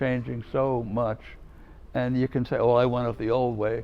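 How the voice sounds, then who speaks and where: With a New York accent, a man talks at a moderate pace and medium pitch in a flat monotone. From New York City, Manhattan. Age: 70s. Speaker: religious brother and former chaplain. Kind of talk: interview, advice to students. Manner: warm, conversational.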